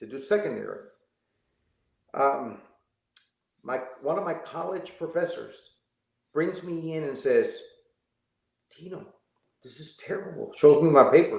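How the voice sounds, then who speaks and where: A man's moderately paced speech carries audible room echo. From Texas, Laredo. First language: Spanish. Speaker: former teacher. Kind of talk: interview storytelling.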